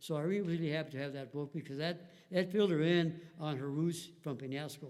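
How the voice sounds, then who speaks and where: A man speaks in a fairly high voice. His intonation stays fairly even. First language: Spanish. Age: 70s. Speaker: family history interviewee. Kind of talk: interview storytelling. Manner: halting, many fillers.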